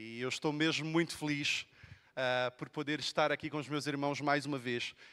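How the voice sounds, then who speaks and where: On a very clean recording with a silent background, a man with a fairly high pitch and a bright, sharp tone speaks at a moderate pace in a monotone, flat intonation. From Brazil, Rio de Janeiro. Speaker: pastor. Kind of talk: sermon. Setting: church.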